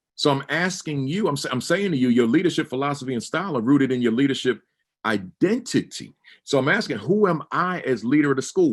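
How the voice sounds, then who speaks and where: An animated man's voice, fairly high in pitch, with very wide pitch swings. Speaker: motivational speaker, former school principal. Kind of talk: motivational talk. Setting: webinar. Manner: animated, emphatic speaker mode; repeats words, stammering restarts.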